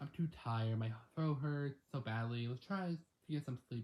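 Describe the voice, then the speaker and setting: A man puts on a raspy, croaky character voice at a medium pitch, speaking at a moderate pace. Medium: read story. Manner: whispering, hoarse.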